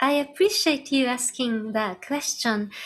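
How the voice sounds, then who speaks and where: With a Japanese accent and lively intonation, the speaker is heard in a very clean recording over a silent background. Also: woman. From Japan, Nagano. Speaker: ambient electronic musician. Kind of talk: interview. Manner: halting.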